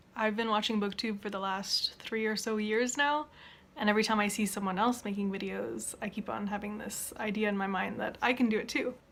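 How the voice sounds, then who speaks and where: This woman speaks at a fairly quick pace with a fairly high pitch and an unremarkable speaking voice. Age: 20s. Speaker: bookseller and student. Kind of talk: casual talk to camera.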